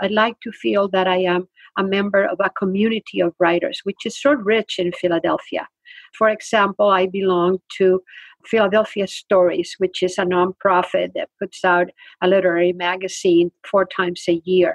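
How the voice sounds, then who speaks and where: A woman speaks at a moderate pace with a Spanish accent. Her intonation stays fairly even. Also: dry, close sound with no echo. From Spain. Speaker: retired literature professor and author. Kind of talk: interview.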